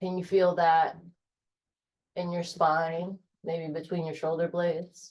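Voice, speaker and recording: Soft-spoken and calm, a woman talks at a fairly slow pace in a fairly low pitch, with monotone, flat intonation and long, frequent pauses. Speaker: yoga instructor. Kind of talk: guided yoga class. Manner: slow, calm.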